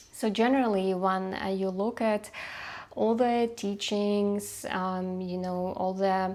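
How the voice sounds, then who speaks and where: With a non-native accent, a woman talks at a fairly slow pace in a medium pitch and fairly even intonation. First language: not English. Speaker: numerologist and coach. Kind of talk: unedited talk to camera. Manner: halting, many fillers.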